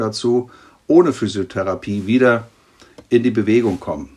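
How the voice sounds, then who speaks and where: A man speaks at a medium pitch. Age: 50s. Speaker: pediatric trauma surgeon. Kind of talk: expert interview. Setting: remote internet recording.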